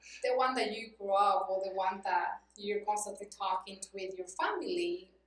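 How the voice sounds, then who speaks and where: A woman with a Mexican accent talks at a medium pitch and a moderate pace, with ordinary pitch variation. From Mexico, Cuernavaca, Morelos. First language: Spanish. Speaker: non-profit worker. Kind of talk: interview.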